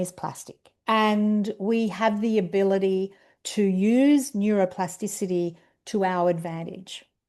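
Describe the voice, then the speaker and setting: A woman speaks in an Australian accent at a medium pitch with ordinary pitch variation. Her tone is dark and mellow against a quiet background. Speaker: educational program director, presenter. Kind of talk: webinar presentation. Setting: video call webinar with screen sharing.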